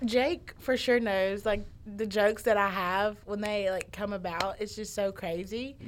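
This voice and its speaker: A Southern US accent at a fairly slow pace, with fairly even intonation and hardly any pauses. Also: woman, medium pitch for a woman. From Alabama. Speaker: college student. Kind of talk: casual chat. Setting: studio.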